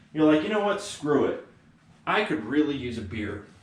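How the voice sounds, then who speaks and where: A man talks with lively intonation. Behind him are audible room echo and noticeable background noise. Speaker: economics lecturer. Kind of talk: lecture. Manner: casual, conversational.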